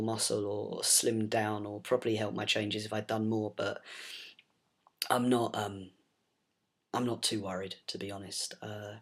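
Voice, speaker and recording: In a very clean recording with a silent background, a man speaks at a fairly slow pace and a medium pitch. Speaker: vlogger. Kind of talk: video diary. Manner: hesitant, many fillers.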